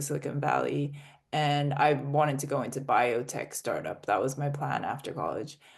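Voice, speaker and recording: A woman's very deep, low pitch at a moderate pace over a quiet background. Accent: American. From international (UK, Australia, Russia, US). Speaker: startup founder. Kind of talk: interview.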